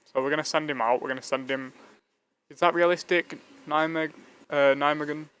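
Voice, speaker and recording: A fairly high-pitched male voice with a Yorkshire accent, fairly even intonation, big swings in loudness, and long, frequent pauses. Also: fairly quick pace. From northern England (Leeds). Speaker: gaming streamer. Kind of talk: live gameplay commentary. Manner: casual, chatty.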